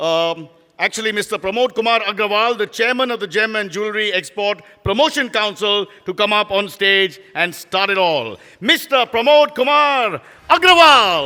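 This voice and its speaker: Bright and sharp in tone, the voice is raised and projected. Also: man, high pitch for a man, lively intonation, moderate pace. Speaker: event emcee. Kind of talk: live event hosting. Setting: stage with audience. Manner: playful.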